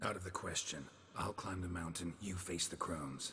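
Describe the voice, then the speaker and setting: A man puts on a character voice at a moderate pace, his pitch very deep and low. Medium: video game. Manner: gruff, dry.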